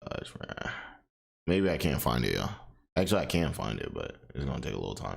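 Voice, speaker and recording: A man with a very deep, low voice speaks very fast, his pitch swinging very widely. He leaves long, frequent pauses, and the room echo is audible. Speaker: commentary streamer. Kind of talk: casual reaction commentary. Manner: many fillers, self-described poor speech; casual, repetitive restarts.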